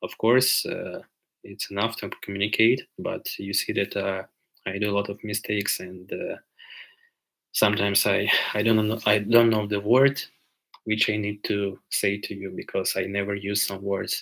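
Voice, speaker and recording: A man with a Ukrainian accent speaks at a moderate pace in a fairly low pitch. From Ukraine. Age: 20s. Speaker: livestreamer. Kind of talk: live Q&A stream. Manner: halting with many filler sounds.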